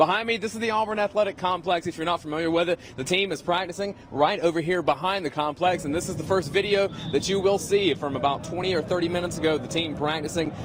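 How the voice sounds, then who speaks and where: A man talks very fast at a high pitch with ordinary pitch variation. Noticeable background noise runs beneath him. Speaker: sports anchor and reporter. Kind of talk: live sports reporter stand-up / anchor delivery.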